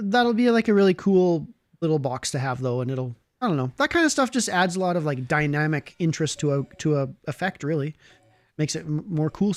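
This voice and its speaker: A man with a Canadian accent and an unremarkable speaking voice talks fairly quickly and fairly high with lively intonation, in a dry, close sound with no echo on a very clean recording with a silent background. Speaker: live stream co-host.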